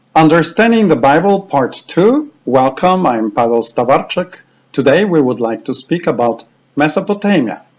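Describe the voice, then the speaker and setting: In a Polish accent, a man speaks with a fairly high pitch that makes very wide swings. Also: moderate pace. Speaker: bible teacher. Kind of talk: lecture.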